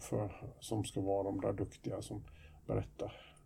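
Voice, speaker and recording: A man's voice comes across with a dark, mellow tone and is somewhat breathy. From Sweden. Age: 50s. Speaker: podcast co-host, youth counsellor. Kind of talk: casual chat.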